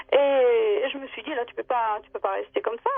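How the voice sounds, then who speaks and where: At a moderate pace, a woman talks in a high voice with very wide pitch swings. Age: 60s. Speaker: radio caller sharing paranormal testimony. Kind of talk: testimony. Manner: halting, many hesitations.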